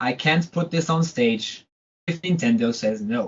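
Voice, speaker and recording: A man is speaking. His voice is somewhat breathy. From Portugal. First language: Portuguese. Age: 20s. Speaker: composer. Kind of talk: interview. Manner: halting.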